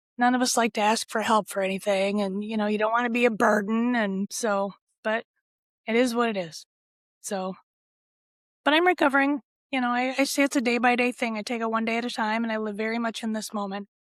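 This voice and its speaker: A woman with an American accent speaks quietly at a fairly quick pace, her fairly high voice in fairly even intonation, on a very clean recording with a silent background and a dry, close sound with no echo. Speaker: mesothelioma survivor and patient advocate. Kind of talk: interview.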